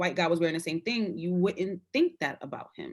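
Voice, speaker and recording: A woman's ordinary speaking voice, fairly low in pitch, with an American accent at a fairly quick pace, in a very clean recording against a silent background. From Brooklyn, New York (Fort Greene). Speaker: podcast panelist. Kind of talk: casual discussion. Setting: live video stream.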